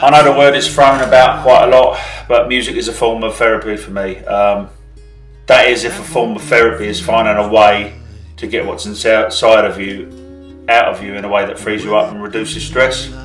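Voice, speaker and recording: With music in the background, a man speaks in a southern English accent at a moderate pace, his loudness swinging widely. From Kent, England. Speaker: singer-songwriter. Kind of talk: interview answer.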